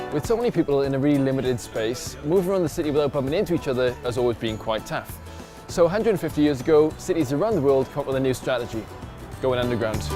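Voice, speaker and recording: Over music in the background, a man with a medium pitch talks at a very fast pace. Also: lively intonation. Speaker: science presenter. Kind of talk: educational science narration.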